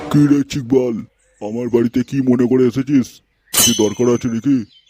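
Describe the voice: Doing a cartoonish character voice, a man speaks in a monotone with flat intonation, at a medium pitch and a moderate pace, in a dry, close sound with no echo.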